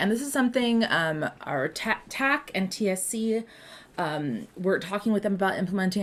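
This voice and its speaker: A woman's voice with ordinary pitch variation. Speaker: community manager presenting at project meeting. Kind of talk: presentation in video meeting. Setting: video call. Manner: fast.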